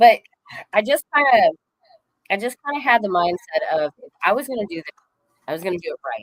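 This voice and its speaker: A woman with a Southern accent and a fairly high voice speaks at a fairly quick pace with very wide pitch swings, big swings in loudness and long, frequent pauses, all in a dry, close sound with no echo. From US South, Arkansas. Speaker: professional wrestler. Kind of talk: interview. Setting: livestream.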